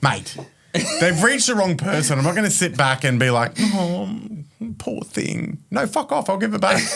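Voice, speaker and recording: With an Australian accent, a man talks in very wide pitch swings. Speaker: mortgage broker, business founder. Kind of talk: casual podcast interview. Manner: animated.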